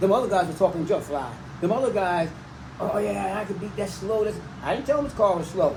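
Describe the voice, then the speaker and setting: Over noticeable background noise and audible room echo, a man talks at a fairly quick pace in a high pitch with ordinary pitch variation. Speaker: classic car owner, former street racer. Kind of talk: casual chat.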